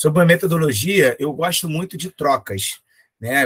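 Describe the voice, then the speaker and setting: In a Rio de Janeiro accent, a man talks at a moderate pace, the sound dry and close with no echo. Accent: Rio de Janeiro (carioca). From Rio de Janeiro, Brazil. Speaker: professor, physical education lecturer. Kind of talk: conference lecture. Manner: hesitant, many fillers and repetitions.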